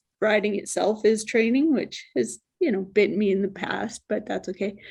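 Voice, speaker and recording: A woman speaks in a soft-spoken way. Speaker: mountain bike trail society president. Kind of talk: interview answer.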